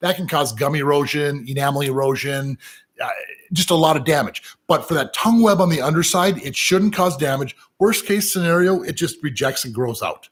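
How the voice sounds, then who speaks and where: A man's somewhat breathy voice in an American accent, fairly high in pitch, with ordinary pitch variation and a fairly quick pace. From US Midwest, Minnesota. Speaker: professional piercer. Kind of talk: live Q&A. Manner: casual, halting with fillers.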